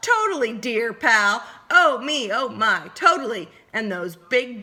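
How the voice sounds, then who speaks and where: A woman's put-on character voice, fairly high in pitch, at a fairly slow pace. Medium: read story. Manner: affected, old-fashioned genteel.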